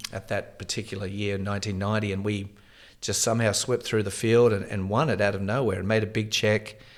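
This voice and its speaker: In an Australian accent, a man with a fairly low voice talks at a fairly quick pace in a monotone, flat intonation. The recording is very clean, with a silent background. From Australia, Tasmania. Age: 50s. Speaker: former pro tennis player and coach. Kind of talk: interview.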